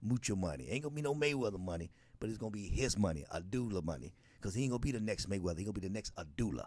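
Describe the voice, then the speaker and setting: Very wide pitch swings mark a man's animated tone. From St. Louis, US Midwest. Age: 60s. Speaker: boxing trainer. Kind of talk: casual chat.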